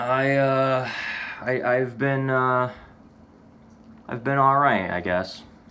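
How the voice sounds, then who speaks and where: Speaking very slowly with an American accent, a man with a medium pitch and fairly even intonation takes long, frequent pauses. Noticeable background noise and audible room echo surround his voice. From United States. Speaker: vlogger. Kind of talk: casual vlog monologue. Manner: halting, many false starts and fillers.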